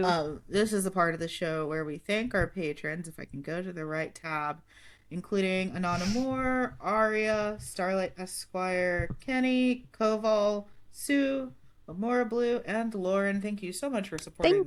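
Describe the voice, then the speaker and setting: An unremarkable speaking voice from a woman, with a medium pitch, lively intonation and a fairly slow pace. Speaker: podcast host.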